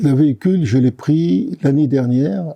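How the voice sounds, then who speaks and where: Somewhat breathy and dark, mellow in tone, a man's voice comes through with a dry, close sound and no echo. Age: 70s. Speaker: customer giving a testimonial. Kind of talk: testimony. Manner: halting.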